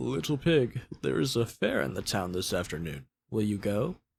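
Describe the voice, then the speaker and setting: On a very clean recording with a silent background, a man performs a put-on character voice at a fairly low pitch, moving at a moderate pace with very wide pitch swings. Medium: read story. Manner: sly, coaxing.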